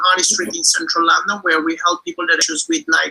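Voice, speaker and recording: This man speaks in a raised, projected voice pitched high with an Italian accent. His delivery carries clearly. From Italy. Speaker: digestive health clinic owner. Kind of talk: testimony. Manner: halting.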